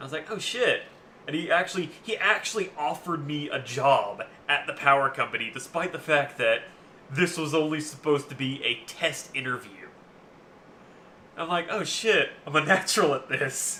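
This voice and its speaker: The man speaks at a moderate pace. His pitch is fairly high, with ordinary variation. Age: 20s. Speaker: gaming streamer. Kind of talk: casual chat. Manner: loud; halting.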